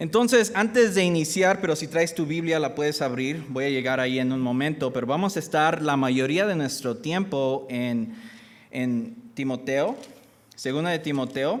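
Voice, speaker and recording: At a moderate pace, a man talks with lively intonation and a fairly high pitch. Audible room echo surrounds his voice. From US (born in Michoacán, Mexico). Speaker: guest preacher. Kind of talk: sermon. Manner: halting.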